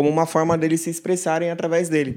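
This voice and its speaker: Recorded very cleanly against a silent background, a man speaks at a fairly high pitch. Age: 20s. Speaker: church musician, music producer. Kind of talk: casual panel discussion.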